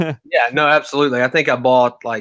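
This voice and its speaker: A man's bright, sharp tone at medium pitch, fairly quick, with a Southern US accent, in a very clean recording with a silent background. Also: dry, close sound with no echo. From US South. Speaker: crypto newsletter creator. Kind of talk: casual chat.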